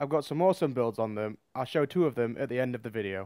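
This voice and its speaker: Over a very clean recording with a silent background, a man at a medium pitch talks at a very fast pace with lively intonation. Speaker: gaming YouTuber. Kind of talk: gameplay commentary.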